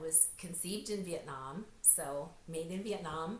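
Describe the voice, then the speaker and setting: A woman speaks with an American accent. Room echo is audible. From US, North Idaho. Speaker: author and speaker. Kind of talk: interview, personal story.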